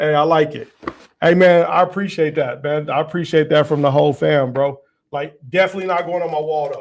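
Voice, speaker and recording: A man talks at a fairly quick pace, animated and fairly high in pitch. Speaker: podcast host and youth sports coach. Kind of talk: casual chat. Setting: studio. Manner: loud.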